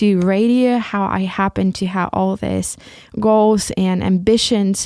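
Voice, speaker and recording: In a very clean recording with a silent background, a woman speaks at a medium pitch with a Ukrainian accent. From Ukraine. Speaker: podcast host. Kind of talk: solo podcast monologue. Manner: halting, many repetitions.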